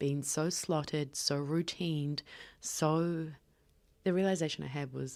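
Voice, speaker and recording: In a New Zealand accent, the speaker talks at a fairly slow pace with fairly even intonation, on a very clean recording with a silent background. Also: woman. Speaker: podcast host. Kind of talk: solo podcast monologue. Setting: hotel room.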